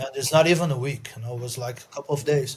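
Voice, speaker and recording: With a Brazilian accent, a man speaks in a somewhat breathy, fairly high-pitched voice with fairly even intonation. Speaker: podcast co-host. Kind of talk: casual chat.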